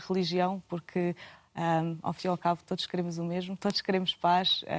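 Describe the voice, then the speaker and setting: A woman with medium pitch speaks at a moderate pace in a monotone, flat intonation, the sound dry and close with no echo on a very clean recording with a silent background. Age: 30s. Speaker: international programs manager. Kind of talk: panel discussion. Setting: TV studio. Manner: halting.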